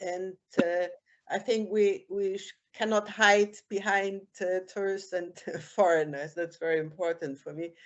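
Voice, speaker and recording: A woman with a German accent speaks at a fairly slow pace and medium pitch with fairly even intonation. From Germany. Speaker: beach cleaner, former tourism manager, participant. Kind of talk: public consultation comment. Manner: halting.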